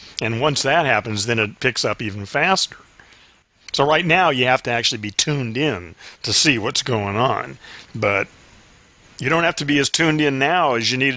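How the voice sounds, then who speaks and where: A man speaks at a moderate pace with lively intonation. His tone is bright and sharp. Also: medium pitch for a man. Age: 60s. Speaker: podcast host. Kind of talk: casual chat. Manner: halting.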